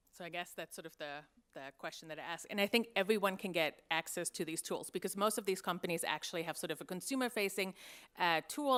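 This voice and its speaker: Speaking very fast with a German accent, a woman uses a medium pitch. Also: very clean recording, silent background. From Germany. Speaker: investigative journalist. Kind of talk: conference panel talk.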